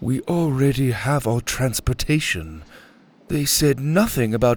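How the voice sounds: Ordinary pitch variation carries a natural reading voice.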